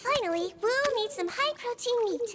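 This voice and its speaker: Over loud background noise, a squeaky put-on character voice speaks at extremely high pitch and a moderate pace. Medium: video game. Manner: gentle, warm.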